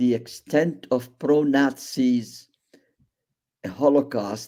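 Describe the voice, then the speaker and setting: A man speaks with an Arabic accent. His tone is dark and mellow. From Iraq, Baghdad. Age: 80s+. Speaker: Holocaust survivor. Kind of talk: testimony.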